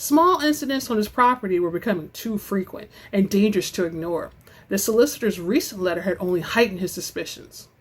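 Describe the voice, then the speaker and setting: At a very fast pace, a woman with a medium-pitched, somewhat breathy voice speaks in a dramatic tone with lively intonation. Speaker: audiobook narrator. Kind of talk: dramatic reading of romance novel. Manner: dramatic, expressive.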